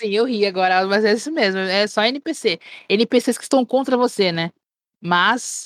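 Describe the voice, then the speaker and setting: Fairly slow speech with ordinary pitch variation, in a dry, close sound with no echo. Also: woman, fairly high pitch for a woman. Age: 40s. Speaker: streamer. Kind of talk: casual chat.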